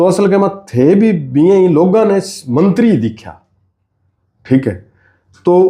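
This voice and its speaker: The voice has a dark, mellow tone and lively intonation, broken by long, frequent pauses. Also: man, high pitch for a man. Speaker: writer, journalist, podcast host. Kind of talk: podcast interview questions.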